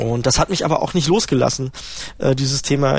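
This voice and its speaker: The speaker talks at a very fast pace with ordinary pitch variation. Noticeable noise sits in the background. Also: man. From East Germany, Halle-Neustadt. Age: 40s. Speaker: system administrator. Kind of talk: interview testimony.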